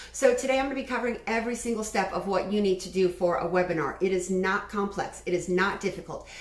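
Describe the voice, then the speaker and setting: A woman's fairly quick speech with ordinary pitch variation, noticeable background noise and audible room echo. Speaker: webinar instructor. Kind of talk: online class. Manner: fast.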